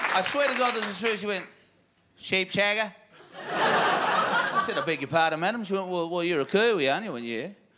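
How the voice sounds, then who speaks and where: A man with a high, raised and projected voice talks at a fairly quick pace, his pitch swinging very widely over noticeable background noise. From New Zealand. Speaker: comedian. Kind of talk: stand-up.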